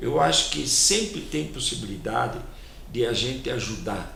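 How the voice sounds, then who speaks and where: Noticeable background noise and audible room echo are present. Through them, a man talks at a fairly slow pace. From Brazil, São Paulo. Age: 80s+. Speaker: community volunteer and businessman. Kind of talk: TV interview. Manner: halting, repeats words.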